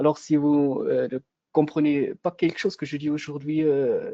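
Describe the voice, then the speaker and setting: Recorded dry and close with no echo, a man speaks at a moderate pace in a fairly high, dark and mellow voice. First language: German (speaking French). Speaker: product manager for a solar company. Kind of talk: webinar product presentation. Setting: online webinar. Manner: halting, many hesitations.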